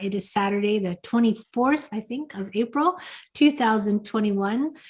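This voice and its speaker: A woman talks at a fairly quick pace in a fairly high, somewhat breathy voice. Her pitch varies an ordinary amount. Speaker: webinar host. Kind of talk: casual chat. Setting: video call. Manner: fast.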